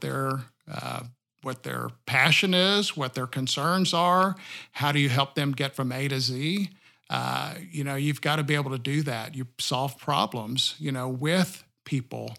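At a fairly slow pace, a man with a Texan accent speaks in a fairly high pitch with ordinary pitch variation. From Texas, rural area south of Austin. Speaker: banker. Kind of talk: interview.

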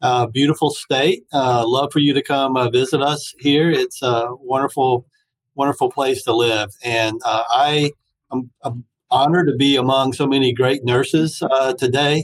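A man with a plain, everyday voice speaks at medium pitch and a fairly slow pace, with very even loudness, fairly even intonation, and a dry, close sound with no echo. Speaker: hospital talent executive. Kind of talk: panel discussion.

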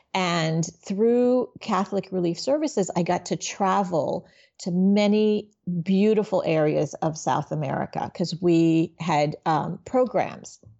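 Using an ordinary speaking voice, a woman of medium pitch talks at a fairly slow pace with ordinary pitch variation. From Miami, Florida (born in Haiti). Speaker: business nonprofit executive and coach. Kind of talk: interview conversation.

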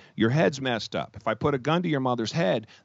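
A man with vocal fry talks at a fairly quick pace. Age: 50s. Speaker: entrepreneur. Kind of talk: interview. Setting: podcast.

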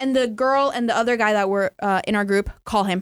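The sound is dry and close with no echo as a woman speaks. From North Carolina. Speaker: storytelling podcast guest. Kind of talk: casual storytelling chat.

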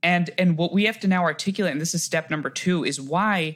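A man speaks with an American accent in an ordinary speaking voice, his pitch fairly high at a moderate pace. The recording is very clean, with a silent background. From US, grew up moving around (New Jersey, India early). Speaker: CEO of a student civic organization. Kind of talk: interview.

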